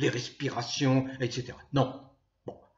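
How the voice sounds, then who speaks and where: This man speaks at a very slow pace. His pitch is in the medium range. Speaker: political commentator, YouTuber. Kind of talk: monologue to camera. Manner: hesitant with frequent euh.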